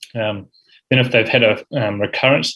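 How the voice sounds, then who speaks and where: A man is speaking. He has a New Zealand accent. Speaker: uro-oncology fellow presenting at rounds. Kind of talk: medical lecture. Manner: frequent fillers, um and uh.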